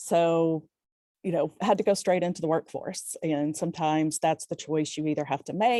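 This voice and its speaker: Against a quiet background, a woman with a Texan accent speaks at a moderate pace in a dark, mellow tone, her fairly low pitch showing ordinary variation. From Texas, small town. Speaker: career panelist, communications professional. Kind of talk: career talk to students.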